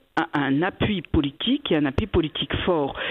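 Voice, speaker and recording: A woman speaks at a moderate pace. She has a plain, everyday voice. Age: 60s. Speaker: cantonal government minister. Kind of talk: radio interview.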